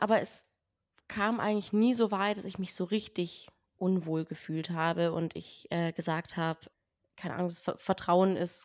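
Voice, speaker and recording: The recording of a woman with a fairly low pitch is very clean, its background silent. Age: 20s. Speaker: podcast guest. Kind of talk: casual interview.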